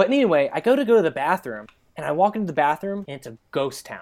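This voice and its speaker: A man speaks at a very fast pace with an American accent. His pitch swings very widely. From US, Chesapeake, Virginia. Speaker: podcast guest, volunteer advocate. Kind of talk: casual chat.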